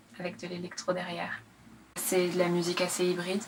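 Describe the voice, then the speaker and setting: This woman's voice sits at a fairly low pitch. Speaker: singer-songwriter and rapper. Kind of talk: interview. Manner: hesitant, many fillers.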